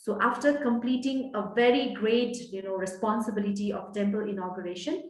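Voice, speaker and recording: A woman with a Nepali accent speaks at a moderate pace, her medium pitch moving in an ordinary way, with audible room echo around her. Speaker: guest speaker. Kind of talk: personal testimony talk. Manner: hesitant, many fillers.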